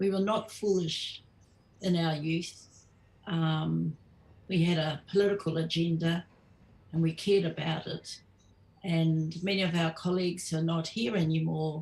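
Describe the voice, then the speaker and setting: Somewhat breathy and fairly low in pitch, a woman speaks at a fairly slow pace with fairly even intonation and long, frequent pauses. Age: 70s. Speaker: Māori activist veteran. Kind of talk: casual chat. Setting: live stream.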